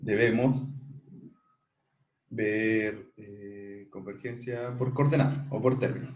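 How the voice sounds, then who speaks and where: Pausing long and often, a somewhat breathy man speaks at medium pitch and a very slow pace, with audible room echo around him. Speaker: math tutor. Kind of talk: online tutorial. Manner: casual, many fillers.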